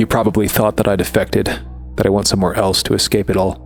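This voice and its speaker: Clear music plays behind a man doing a put-on character voice with very deep, low pitch. His intonation is lively and his loudness very even. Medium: audio drama.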